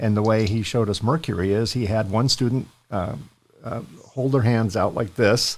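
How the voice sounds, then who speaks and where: The recording is very clean with a silent background. A man with a plain, everyday voice speaks at a medium pitch and a moderate pace, with ordinary pitch variation. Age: 60s. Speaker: podcast host. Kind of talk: interview podcast.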